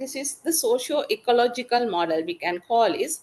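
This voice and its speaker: A woman speaks with a Tamil accent at a high pitch. Her voice swings very widely in pitch. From Sri Lanka. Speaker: webinar speaker on gender-based violence. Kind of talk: presentation. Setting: webinar. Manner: halting, with fillers and self-corrections.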